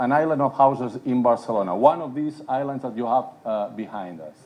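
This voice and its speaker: At a fairly quick pace, a man talks in a Catalan accent. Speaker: city politician. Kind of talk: conference panel talk. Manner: hesitant, many fillers.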